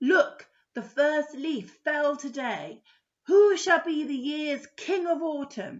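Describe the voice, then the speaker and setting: Very slowly, a woman delivers a put-on character voice pitched high. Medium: read story.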